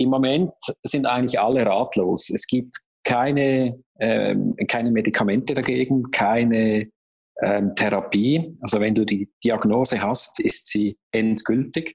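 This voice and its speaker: Very slow and with very even loudness, a man talks with fairly even intonation. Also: medium pitch for a man. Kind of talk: interview.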